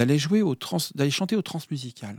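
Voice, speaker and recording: A man's fairly high, dark and mellow voice sweeps through very wide pitch swings on a very clean recording with a silent background. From France, mostly outside Brittany (Air Force family). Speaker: musician and musical director. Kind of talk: radio interview. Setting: radio studio. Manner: hesitant, many fillers.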